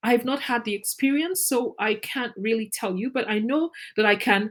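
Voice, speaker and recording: A woman with a Nigerian accent, ordinary pitch variation and a moderate pace, on a very clean recording with a silent background. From Nigeria (Ijaw/Izon ethnic group). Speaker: teacher trainer. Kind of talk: lecture.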